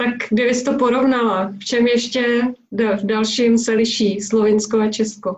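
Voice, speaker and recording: A woman speaks at a fairly slow pace in a fairly high pitch, her intonation monotone and flat and her loudness very even. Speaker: parenting and travel blogger. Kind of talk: interview.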